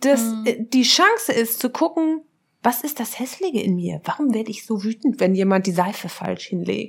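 In a normal speaking voice, a woman speaks at fairly high pitch and a moderate pace. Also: lively intonation. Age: 30s. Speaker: social psychologist and relationship researcher. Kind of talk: casual interview conversation.

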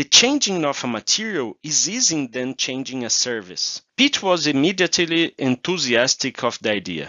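With a Portuguese accent, a man speaks at a fairly high pitch and a moderate pace. His pitch swings very widely and he hardly pauses. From Brazil. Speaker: procurement manager. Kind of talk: interview.

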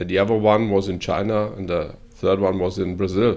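On a very clean recording with a silent background, a man with a German accent speaks at a fairly quick pace. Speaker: corporate podcast host. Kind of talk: interview.

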